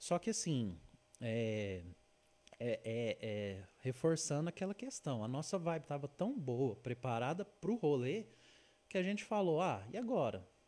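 A man with a fairly high pitch speaks at a fairly slow pace. His dark, mellow tone carries very wide pitch swings. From Uberlândia, Minas Gerais, Brazil. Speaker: travel and food influencer. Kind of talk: casual chat. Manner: halting.

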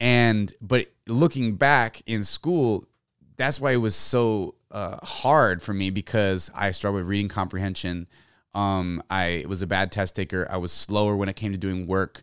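A man with an American accent has a plain, everyday voice, fairly low in pitch with ordinary pitch variation, at a fairly slow pace. The sound is dry and close with no echo on a very clean recording with a silent background. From Texas, San Antonio. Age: 30s. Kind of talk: casual interview. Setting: studio.

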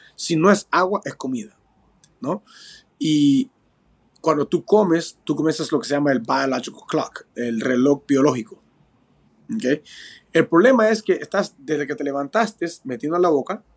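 Fairly high male voice with lively intonation, a moderate pace and long, frequent pauses, in a dry, close sound with no echo. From Peru, moved to California at 10. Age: 40s. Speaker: professional bare-knuckle boxer. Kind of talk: interview.

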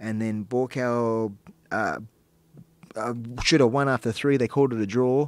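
A man speaks in an Australian accent at a medium pitch. His intonation stays fairly even. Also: moderate pace. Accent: thick Australian. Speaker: professional fighter. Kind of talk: casual chat. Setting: studio. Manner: halting.

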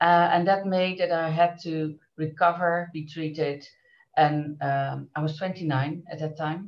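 Speaking very slowly in a flat monotone, a woman with a Dutch accent has a very deep, low pitch. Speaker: business association director. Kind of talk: interview.

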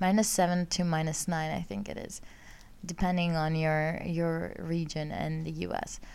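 A woman speaks at a fairly low pitch. Room echo is audible around her. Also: ordinary pitch variation, moderate pace. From Greece. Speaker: astrology podcaster. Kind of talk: casual monologue.

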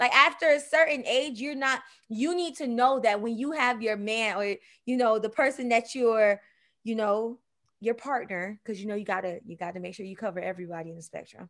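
Against a quiet background, a woman with an unremarkable speaking voice talks at a fairly quick pace, fairly high in pitch, with lively intonation and big swings in loudness. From Miami, Florida. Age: 30s. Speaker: host's sister, segment guest. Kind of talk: casual chat.

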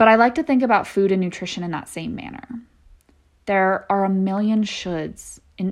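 An animated woman with an American accent, medium pitch, ordinary pitch variation and a moderate pace. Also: big swings in loudness. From California (San Diego). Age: 20s. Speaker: podcast host, dietetic intern. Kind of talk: casual solo podcast monologue.

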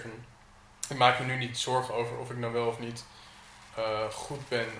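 A man's moderately paced speech carries audible room echo amid noticeable background noise. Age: 20s. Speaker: artist. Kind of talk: casual chat. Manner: halting.

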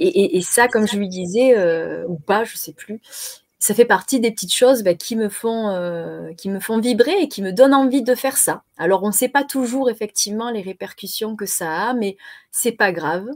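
At a fairly slow pace, a woman of medium pitch speaks with lively intonation and big swings in loudness. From southern France, Marseille. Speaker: web TV co-host. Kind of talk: casual chat. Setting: live stream.

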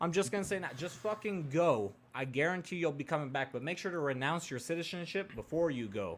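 An unremarkable speaking voice from a man with an American accent, fairly high in pitch, fairly quick in pace, with lively intonation, on a very clean recording with a silent background. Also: hardly any pauses. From US West Coast, rural Oregon. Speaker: podcast co-host. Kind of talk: casual chat.

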